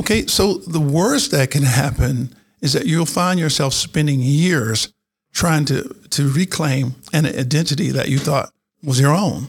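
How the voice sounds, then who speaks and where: A man with an American accent speaks fairly slowly in a fairly high, somewhat breathy voice at very even loudness. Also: ordinary pitch variation. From North Carolina. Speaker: retired general and cybersecurity executive. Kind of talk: interview. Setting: studio.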